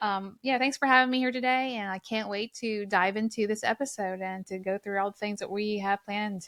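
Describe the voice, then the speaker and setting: A woman speaks with a strong Southern US accent. She talks with hardly any pauses. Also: fairly high pitch for a woman, dry, close sound with no echo. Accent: thick Southern drawl. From US South, Mississippi. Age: 30s. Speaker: nurse anesthetist. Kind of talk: casual chat. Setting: home studio. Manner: animated.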